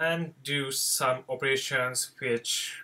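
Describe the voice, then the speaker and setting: Speaking very slowly with a non-native accent, this man has a medium pitch and fairly even intonation. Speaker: software developer. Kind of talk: tutorial. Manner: halting, many fillers.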